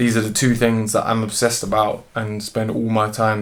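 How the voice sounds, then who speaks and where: A man with a London accent speaks at a moderate pace and a fairly low pitch. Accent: London street speech. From London, England (Dominica roots). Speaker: musician and zoologist. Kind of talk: interview.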